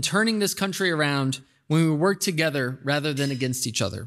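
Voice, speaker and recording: A man speaks at a fairly quick pace. His tone is bright and sharp against a quiet background. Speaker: host introducing keynote speaker. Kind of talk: formal introduction speech. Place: hall. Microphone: podium.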